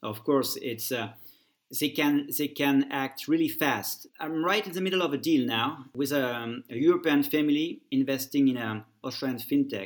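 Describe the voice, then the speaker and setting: A man with a French accent speaks at a moderate pace, his fairly high pitch showing ordinary variation. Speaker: family office network founder. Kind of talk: interview. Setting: remote call. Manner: halting, many repetitions.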